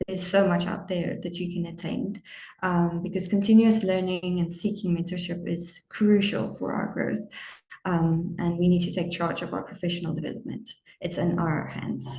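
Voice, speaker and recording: In a normal speaking voice, a woman talks at a moderate pace with fairly even intonation and fairly low pitch. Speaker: webinar moderator summarizing session. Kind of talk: closing summary of a webinar.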